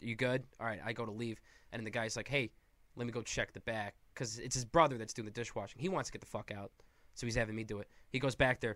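A man talks at a very fast pace with an American accent. His medium pitch holds a fairly even intonation. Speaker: comedian. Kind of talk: casual chat.

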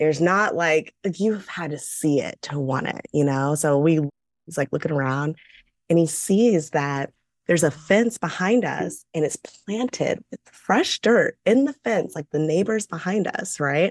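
A woman's fairly low voice at a fairly slow pace, with lively intonation and a dry, close sound with no echo. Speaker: podcast co-host. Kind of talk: casual chat.

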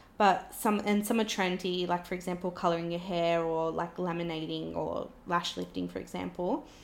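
A woman with an Australian accent, talking with hardly any pauses. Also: moderate pace. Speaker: podcast host and makeup business owner. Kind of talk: casual chat.

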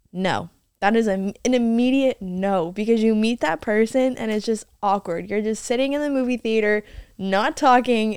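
An ordinary speaking voice from a woman, fairly high in pitch with ordinary pitch variation. She talks at a moderate pace on a very clean recording with a silent background. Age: young. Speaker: podcast co-host. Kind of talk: casual chat.

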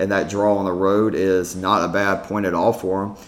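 A man speaks at a moderate pace with a very deep, low pitch. His intonation stays monotone and flat. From Georgia. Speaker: sports podcast host. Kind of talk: casual sports podcast chat.

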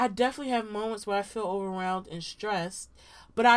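An animated woman with an American accent is heard on a very clean recording with a silent background. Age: 20s. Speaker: podcast co-host. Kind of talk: casual chat between friends. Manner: animated, laughs often.

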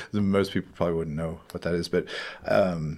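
In an American accent, a man speaks at a very fast pace with a very deep, low pitch. The recording is very clean, with a silent background. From West Virginia. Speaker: ghost tour operator. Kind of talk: casual interview. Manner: halting, many fillers.

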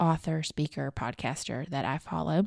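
A woman with a Southern US accent speaks at a moderate pace with a very deep, low pitch, lively intonation and a warm, upbeat tone. The recording is very clean, with a silent background. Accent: Southern US, noticeable. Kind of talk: devotional podcast talk, encouraging. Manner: warm, upbeat, animated.

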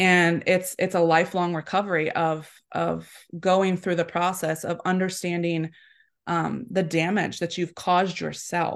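At a fairly slow pace, a woman with an American accent speaks in a fairly low pitch with monotone, flat intonation. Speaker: apparel shop owner. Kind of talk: casual interview chat. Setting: live video call.

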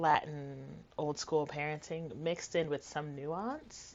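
A woman with an American accent. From New York City (Flushing, Queens). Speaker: memoirist and author. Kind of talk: casual interview; reading aloud.

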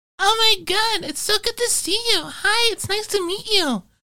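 In a put-on character voice, a female-sounding speaker goes squeaky and extremely high-pitched at a moderate pace. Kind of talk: affected. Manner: bubbly, exaggerated.

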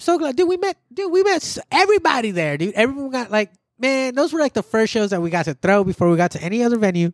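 Speaking at a very fast pace with hardly any pauses, a man sounds animated as his pitch swings very widely, recorded very cleanly against a silent background with a dry, close sound and no echo. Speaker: podcast host. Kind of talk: casual chat. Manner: casual, profane, animated.

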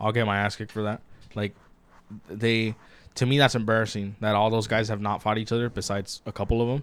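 Here a man speaks at a fairly low pitch. He goes at a very fast pace. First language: Spanish. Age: 20s. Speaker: podcast co-host. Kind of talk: casual chat. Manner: animated.

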